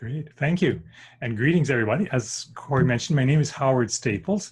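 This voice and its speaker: A man with a normal speaking voice, a Canadian accent, medium pitch, lively intonation and a fairly quick pace. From Saskatchewan, Canadian prairies. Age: 60s. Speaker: workshop presenter, former engineer. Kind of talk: online presentation. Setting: group video call.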